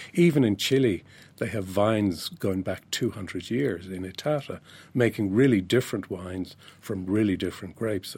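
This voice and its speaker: The voice carries an Irish accent, moving at a fairly quick pace with ordinary pitch variation. The recording is very clean with a silent background. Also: man. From Ireland. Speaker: wine writer. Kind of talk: interview.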